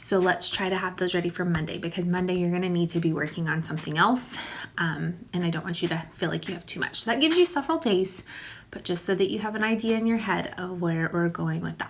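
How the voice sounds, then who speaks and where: With a warm tone, a woman speaks very fast at a fairly low pitch and with ordinary pitch variation. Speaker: elementary school teacher. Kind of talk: recorded video lesson for pupils. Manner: informal, warm.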